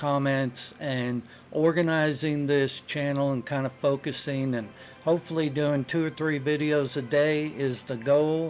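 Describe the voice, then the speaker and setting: Fairly high in pitch, a man talks at a fairly slow pace with fairly even intonation. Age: 60s. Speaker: retired truck driver and channel host. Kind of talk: casual talk to camera. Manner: hesitant, many fillers. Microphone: very cheap microphone.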